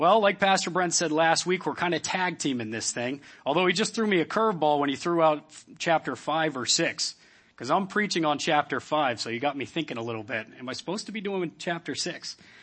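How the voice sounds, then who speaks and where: A man with an American accent uses an ordinary speaking voice at a fairly high pitch. He talks at a fairly quick pace with lively intonation. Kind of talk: sermon. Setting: church. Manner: casual, warm, humorous.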